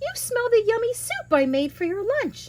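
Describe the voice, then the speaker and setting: Squeaky and extremely high, this woman's put-on character voice sits at the very top of her range. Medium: read story.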